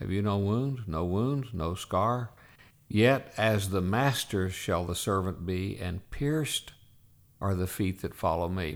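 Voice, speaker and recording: On a very clean recording with a silent background, a man speaks at a very slow pace and a fairly low pitch. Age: 70s. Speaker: pastor and denominational leader. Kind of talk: interview conversation.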